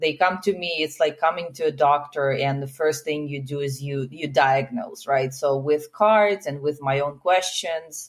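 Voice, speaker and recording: A woman talks in a Russian accent, her pitch very deep and low. She barely pauses at all. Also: ordinary pitch variation, moderate pace. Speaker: healer and relationship coach. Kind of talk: podcast interview.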